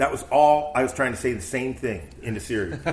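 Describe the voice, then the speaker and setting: A man's voice with vocal fry and audible room echo. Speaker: family member. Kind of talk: casual family chat.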